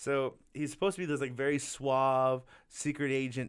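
A man talks at a moderate pace with a medium pitch and a normal speaking voice. The recording is very clean, with a silent background. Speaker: podcast co-host and stand-up comedian. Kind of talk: casual banter, comedy podcast chat.

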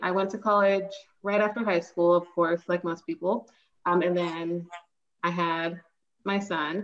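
At a moderate pace comes a normal speaking voice. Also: woman. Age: 30s. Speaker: teacher and book recommender. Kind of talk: casual interview.

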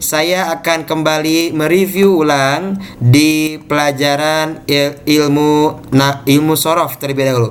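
Through noticeable background noise, a man speaks at a very slow pace and fairly high pitch, with fairly even intonation, very even loudness and hardly any pauses. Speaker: Islamic teacher. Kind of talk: online class lesson. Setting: video call. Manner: formal, teacherly.

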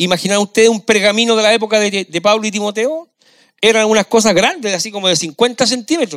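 A man talks at a fairly quick pace with a high pitch. His pitch varies in an ordinary way, and the sound is dry and close with no echo. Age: 60s. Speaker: pastor. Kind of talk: sermon.

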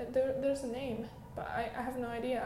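Here a woman talks with a Chinese accent at a moderate pace. Noticeable background noise sits behind her. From China. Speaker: podcaster. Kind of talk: personal storytelling. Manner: halting.

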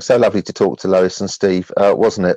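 A man with an unremarkable speaking voice talks at a fairly low pitch with ordinary pitch variation, in a dry, close sound with no echo. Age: 50s. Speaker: charity trustee. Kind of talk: casual radio chat. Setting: remote recording.

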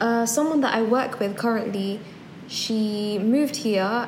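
Noticeable background noise and audible room echo surround a woman's voice. She speaks very slowly at a fairly high pitch, with a London accent. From London, England. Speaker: podcast co-host. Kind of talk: casual chat.

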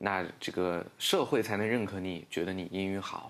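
Very deep and low, a man's voice comes through on a very clean recording with a silent background. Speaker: English-teaching social media creator. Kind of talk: casual interview chat.

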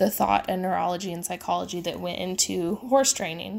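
A woman speaks at a medium pitch with a Midwestern American accent. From US Midwest. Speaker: horse trainer and podcast host. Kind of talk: casual solo podcast talk. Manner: informal, many fillers and laughs.

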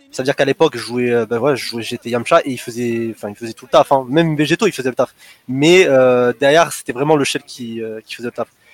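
In a dry, close sound with no echo, a man talks at a very fast pace, with a medium pitch and ordinary pitch variation. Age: 20s. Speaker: competitive gamer. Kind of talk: casual interview.

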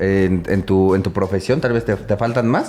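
A man talks at a moderate pace while music runs in the background. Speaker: podcast host. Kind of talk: casual interview. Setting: live-streamed podcast.

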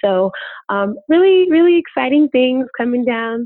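A woman with an ordinary speaking voice in an American accent, with lively intonation at a moderate pace. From Chicago. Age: 20s. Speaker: podcaster. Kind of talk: interview.

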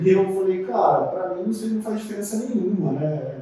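Echo from the room can be heard. There is also noticeable noise in the background. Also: man. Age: 40s. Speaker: cyclist and cycling YouTuber. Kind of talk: casual interview chat.

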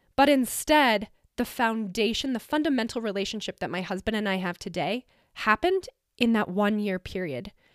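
A woman's normal speaking voice with a General American accent, fairly high in pitch, lively in intonation and moderate in pace, recorded dry and close with no echo, very clean, over a silent background. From Colorado mountain town. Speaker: podcast host. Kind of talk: personal monologue.

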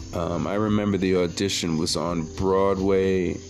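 With music in the background, a man in a New York accent talks at a fairly slow pace with a very deep, low pitch. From Brooklyn, New York. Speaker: podcast host and actor. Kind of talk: casual monologue. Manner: animated.

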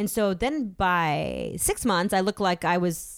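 A woman talks in a plain, everyday voice with an American accent and ordinary pitch variation. The recording is very clean with a silent background. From Massachusetts. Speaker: actor and improviser. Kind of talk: casual chat.

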